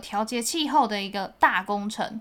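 Bright and sharp in tone, a woman speaks with lively intonation. She keeps a moderate pace. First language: Mandarin. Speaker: podcast co-host. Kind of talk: bilingual casual chat for learners. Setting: studio.

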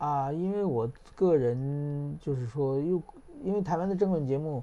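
A man speaks in a dark, mellow tone at a fairly slow pace. His pitch varies an ordinary amount. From China, then Japan. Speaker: journalist and political commentator. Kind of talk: casual interview chat.

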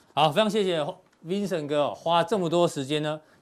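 A man is speaking here. His pitch is fairly high. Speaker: TV finance show host. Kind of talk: casual panel talk show. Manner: animated.

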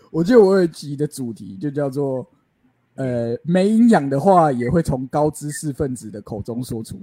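A man's fairly high, dark and mellow voice at a moderate pace, with very wide pitch swings and big swings in loudness, dry and close with no echo. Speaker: podcast co-host. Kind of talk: casual chat.

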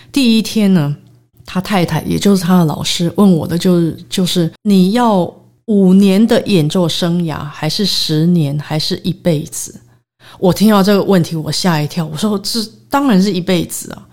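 A woman at medium pitch talks at a moderate tempo, her pitch shifting an ordinary amount. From Taiwan, raised largely in the US. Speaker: concert pianist. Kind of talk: interview. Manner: halting, many fillers and English words.

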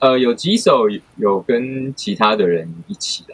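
Speaking at a very slow pace, a man keeps a medium pitch and lively intonation. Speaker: music producer. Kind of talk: casual chat. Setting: online recording. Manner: pauses before speaking.

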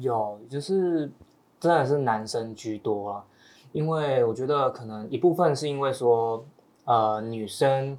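Very slow speech from a man, medium in pitch and ordinary in pitch variation. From Taiwan, Taoyuan. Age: young. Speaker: young farmer. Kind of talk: casual chat.

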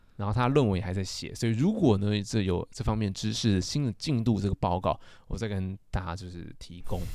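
In a very clean recording with a silent background, a man with a dark, mellow tone and a fairly low pitch speaks fairly quickly with ordinary pitch variation and hardly any pauses. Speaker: literature graduate student, podcast co-host. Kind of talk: casual chat.

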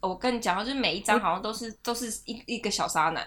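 Over noticeable background noise, a woman with a Taiwanese accent talks fairly quickly in a high voice. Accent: Taiwanese Mandarin. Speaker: podcast host. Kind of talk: casual chat. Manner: frequent laughter and fillers.

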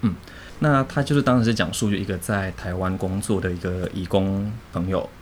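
Here a man with an ordinary speaking voice talks at a moderate pace, his fairly low pitch showing ordinary pitch variation. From Indonesia (Jakarta), Chinese-Indonesian; later Penang, Malaysia. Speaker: designer and translator. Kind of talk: casual chat.

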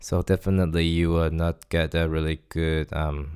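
A man's very deep, low voice, dark and mellow in tone, at a fairly slow pace, with a dry, close sound with no echo, in a very clean recording with a silent background. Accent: Chinese. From Taiwan. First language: Chinese. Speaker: podcast host, graduate student. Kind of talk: solo podcast monologue. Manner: halting, many fillers.

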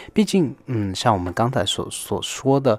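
A man talks fairly slowly, and the recording is very clean with a silent background. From Taiwan. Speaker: music expert. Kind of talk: radio talk on music history. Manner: halting with many fillers.

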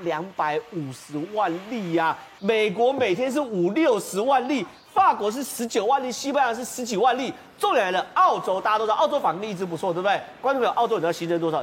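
A man talks at a fairly quick pace with lively intonation and a high pitch, over noticeable background noise. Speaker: TV political talk show commentator. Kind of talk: TV panel discussion.

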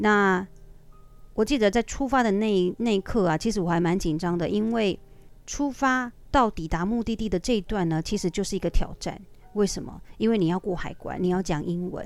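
A woman with a Taiwanese accent speaks at a moderate pace, her medium pitch showing ordinary variation. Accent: Taiwanese Mandarin. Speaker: aerobics instructor. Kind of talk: casual storytelling monologue.

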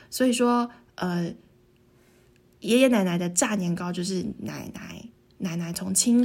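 Her voice is somewhat breathy and sits at a medium pitch. The woman's pitch varies in an ordinary way. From Taiwan, Tainan. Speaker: podcast co-host. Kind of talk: casual chat.

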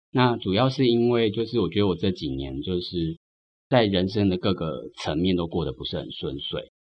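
At a moderate pace, a man with a very deep, low pitch speaks with lively intonation. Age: 30s. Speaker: writer. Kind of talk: interview conversation.

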